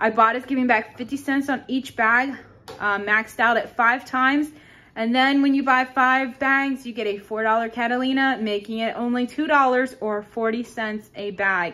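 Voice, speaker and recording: A woman speaks in a high pitch with a bright, sharp tone. Her intonation is fairly even. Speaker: couponing vlogger. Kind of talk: shopping haul tutorial. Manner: fast.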